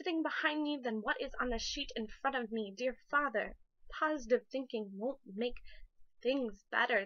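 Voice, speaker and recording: A woman speaks in a raised, projected voice at a high pitch, with a bright, sharp tone. Her intonation is lively and her pace moderate. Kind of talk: spoken word poetry reading. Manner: emotional.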